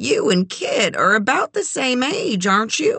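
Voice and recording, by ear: In a put-on character voice, a woman speaks at a fairly high pitch with big pitch swings, a bright, sharp tone, a slightly husky edge and vocal fry.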